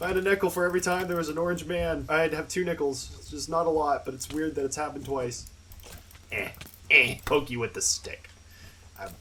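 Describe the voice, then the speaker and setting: A man mumbles at a moderate pace over noticeable background noise. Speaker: gaming youtuber. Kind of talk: gameplay commentary. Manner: mumbling; casual.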